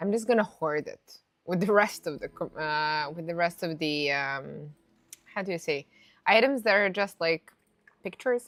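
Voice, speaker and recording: This woman has a non-native accent and a fairly low pitch. Her intonation is lively and her pace moderate. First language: not English. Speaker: gaming streamer. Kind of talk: live gameplay commentary. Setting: live stream. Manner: casual, many fillers and restarts.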